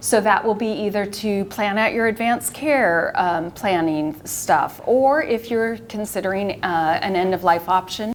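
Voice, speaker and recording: Using a normal speaking voice, a woman talks at a moderate pace with medium pitch and lively intonation. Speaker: retired pharmacist and end-of-life volunteer. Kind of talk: community presentation. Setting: live presentation to a senior audience.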